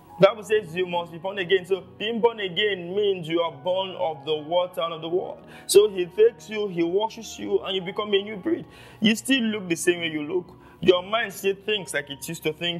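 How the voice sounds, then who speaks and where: A man's high-pitched voice at a fairly quick pace, ordinary pitch variation, faint music behind him. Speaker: preacher. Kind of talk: sermon. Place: home room.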